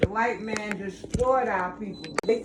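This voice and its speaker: There is noticeable background noise as a woman with an American accent talks in a fairly high pitch with ordinary pitch variation. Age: 80s+. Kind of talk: interview answer.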